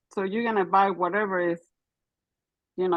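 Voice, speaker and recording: A woman with a non-native accent, medium pitch, fairly even intonation and a moderate pace. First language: not English. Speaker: caller sharing a testimony. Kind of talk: testimony. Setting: call-in while driving. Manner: halting.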